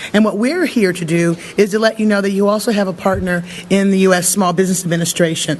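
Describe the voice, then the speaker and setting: A man talks very fast in a high voice with fairly even intonation over noticeable background noise. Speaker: government official. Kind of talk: speech. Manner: halting.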